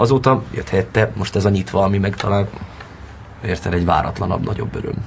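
A man's fairly low voice at a very fast pace, ordinary pitch variation, noticeable background noise. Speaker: actor. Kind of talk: interview.

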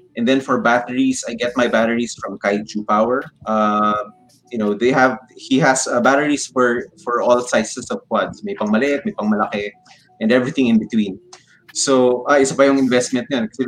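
Over music in the background, a man speaks at a moderate pace in a medium-pitched voice with fairly even intonation. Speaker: FPV drone pilot and builder. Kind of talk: casual interview. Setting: live stream.

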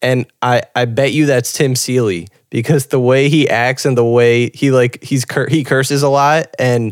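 A man with an ordinary speaking voice, medium pitch, fairly even intonation and a fairly slow pace, in a dry, close sound with no echo. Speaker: podcast host. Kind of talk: casual chat.

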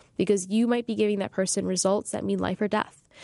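This woman has a plain, everyday voice, medium in pitch, with fairly even intonation. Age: 20s. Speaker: startup founder, engineer. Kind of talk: interview. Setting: in person in Philadelphia.

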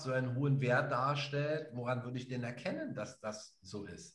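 A man speaks at a moderate pace in a fairly high pitch. His voice is somewhat breathy, with fairly even intonation. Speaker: podcast co-host and spiritual practitioner. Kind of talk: casual conversational podcast. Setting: live podcast recording.

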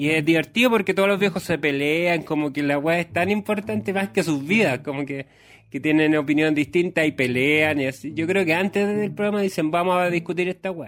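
A man with a Chilean accent speaks at a fairly quick pace in a fairly high voice. The recording is very clean, with a silent background. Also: ordinary pitch variation. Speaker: comedian podcaster. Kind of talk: comedic monologue. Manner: animated.

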